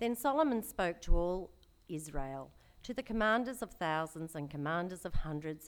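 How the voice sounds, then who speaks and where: Talking in an ordinary speaking voice, a woman keeps a moderate pace and ordinary pitch variation. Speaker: scripture reader. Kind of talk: reading aloud. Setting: church.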